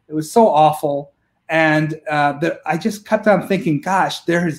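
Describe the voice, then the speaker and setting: A fairly high-pitched man at a fairly slow pace, against a quiet background. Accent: upstate New York. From Rochester, New York. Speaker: politician, state senate candidate. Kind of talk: interview answer. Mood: earnest, personal story. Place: home room. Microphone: video call.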